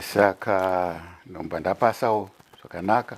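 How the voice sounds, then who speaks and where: This man speaks at a fairly low pitch over noticeable background noise. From Zimbabwe. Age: 70s. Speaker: retired pastor. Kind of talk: interview. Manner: code-switching between Shona and English.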